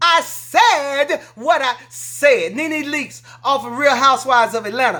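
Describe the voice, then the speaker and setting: In a high, bright, sharp voice that is raised and projected, a woman talks fairly slowly with hardly any pauses, using an animated tone, lively intonation and big swings in loudness. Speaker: political commentary vlogger. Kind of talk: emotional rant to viewers.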